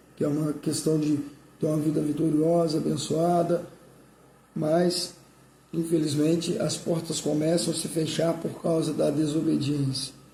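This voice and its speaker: A man talks fairly slowly at a fairly high pitch. His intonation is monotone and flat, and the room echo is audible. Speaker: pastor. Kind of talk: sermon.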